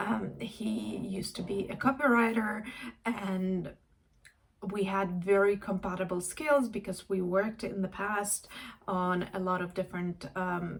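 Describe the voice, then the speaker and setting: A woman's voice of medium pitch comes through somewhat breathy. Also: ordinary pitch variation. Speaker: life and career coach. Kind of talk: casual reflective talk to camera. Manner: hesitant, with many fillers.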